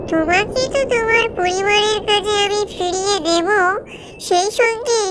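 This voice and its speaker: Squeaky and extremely high, a woman's cartoonish character voice moves at a fairly slow pace. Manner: calm, gentle, instructive.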